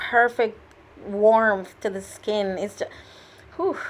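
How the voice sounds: At a slow pace, a woman speaks with fairly even intonation. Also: medium pitch for a woman.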